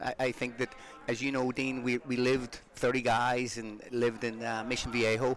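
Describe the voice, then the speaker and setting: Over music in the background, a man with an Irish accent speaks at a moderate pace in a medium pitch with monotone, flat intonation. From Ireland. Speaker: former pro soccer player and youth coach. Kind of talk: casual interview chat.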